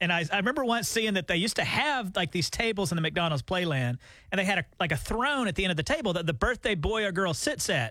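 In a Southern US accent, a man with a high pitch and a bright, sharp tone projects a raised voice at a very fast pace, with hardly any pauses and very wide pitch swings. His loudness stays very even on a very clean recording with a silent background. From Alabama. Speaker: radio morning show co-host. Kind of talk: casual chat. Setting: radio studio.

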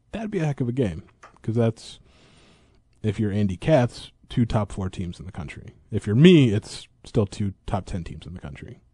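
A man's somewhat breathy, dark, mellow voice with a fairly low pitch and an American accent, lively intonation, big swings in loudness and a moderate pace, in a dry, close sound with no echo. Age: 30s. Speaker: sports beat writer. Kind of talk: casual chat.

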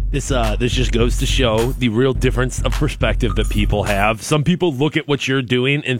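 There is noticeable background noise as a man speaks. His tone is animated, with ordinary pitch variation. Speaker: radio co-host, sports announcer. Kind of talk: casual radio banter. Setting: radio studio. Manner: animated, excitable, laid-back.

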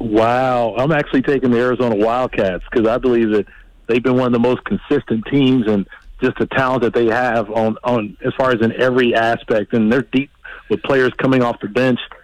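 A man with a plain, everyday voice, medium pitch, fairly even intonation, very even loudness and a fairly quick pace. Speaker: football coach and former player. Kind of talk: radio interview about sports. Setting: phone call.

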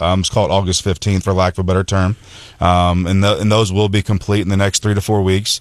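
A man with an American accent, very even loudness, monotone flat intonation and a fairly quick pace, in a dry, close sound with no echo. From US Midwest, rural mid-Missouri. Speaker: construction company executive. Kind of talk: radio interview. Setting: radio studio.

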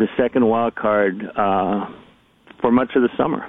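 In an ordinary speaking voice, a man talks at a fairly slow pace. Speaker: baseball columnist. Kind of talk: radio interview, casual sports chat.

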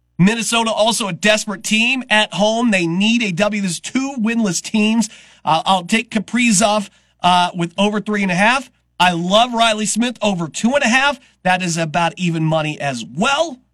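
A man speaks with a bright, sharp tone at a moderate pace. His pitch is high, with ordinary variation. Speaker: radio sports talk host. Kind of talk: radio sports talk show patter. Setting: studio.

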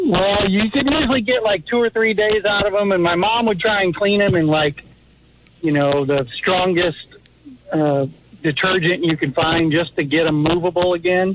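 Set against noticeable background noise, a man talks at a moderate pace in a high pitch, his intonation lively and his loudness very even. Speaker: caller. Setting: phone call.

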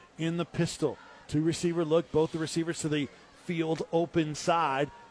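A high-pitched man at a fairly quick pace, in a dry, close sound with no echo. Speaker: play-by-play sports announcer. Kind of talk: live high school football play-by-play. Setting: stadium broadcast booth. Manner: rising, excited yard-by-yard countdown on a breakaway run; brisk, energetic, clipped snap-by-snap narration.

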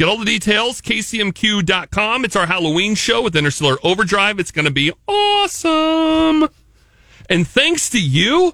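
A man's raised, projected voice sounds bright and sharp, pitched high and swinging very widely in pitch. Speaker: radio host. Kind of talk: casual radio banter. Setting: studio.

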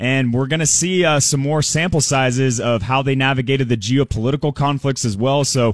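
A man's plain, everyday voice at a medium pitch, fairly quick, with ordinary pitch variation, on a very clean recording with a silent background. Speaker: financial advisor. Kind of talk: market commentary interview.

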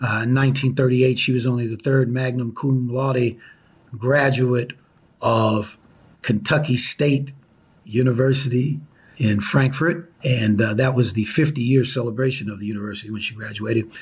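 A man with an American accent talks at a fairly slow pace, his pitch medium. His intonation stays fairly even, and his voice is somewhat breathy. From US Midwest (southern Illinois). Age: 70s. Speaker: attorney and former radio broadcaster. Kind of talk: interview.

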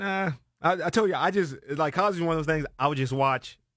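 A very fast, animated delivery with ordinary pitch variation, on a very clean recording with a silent background. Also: man. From Maryland, US (Silver Spring). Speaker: podcast guest, front desk worker and student. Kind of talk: casual chat.

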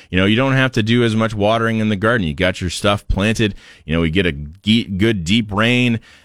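A man with an ordinary speaking voice talks at a fairly quick pace in a fairly low pitch, with ordinary pitch variation. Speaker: radio gardening show host. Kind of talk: live radio call-in show. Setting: radio studio. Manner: friendly, upbeat, conversational.

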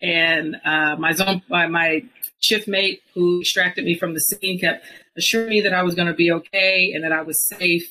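A woman with an American accent, a fairly low pitch, a bright, sharp tone, fairly even intonation and a moderate pace. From US, mostly Georgia. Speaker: former police officer. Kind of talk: interview testimony.

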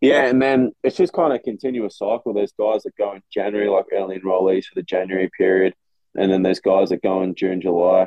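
Speaking with an Australian accent, a man talks at a very fast pace with a fairly low pitch and ordinary pitch variation. His loudness swings widely. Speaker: college football player. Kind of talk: casual chat.

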